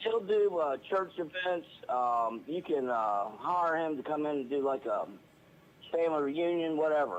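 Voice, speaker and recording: A man with an unremarkable speaking voice, fairly high in pitch, fairly slow, with lively intonation. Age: 60s. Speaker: caller, retired welder. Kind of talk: phone-in chat.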